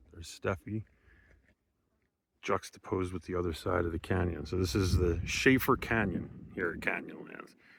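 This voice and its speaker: On a very clean recording with a silent background, a man with an American accent and a very deep, low pitch speaks at a moderate pace, somewhat breathy, with ordinary pitch variation. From eastern United States. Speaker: travel vlogger. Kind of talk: casual travel vlog narration. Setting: outdoors. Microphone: camera built-in mic, no microphone.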